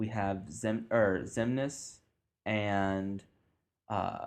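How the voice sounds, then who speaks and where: A man's fairly low voice at a very slow pace with monotone, flat intonation. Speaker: podcast host. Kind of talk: casual chat. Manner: halting, stuttering.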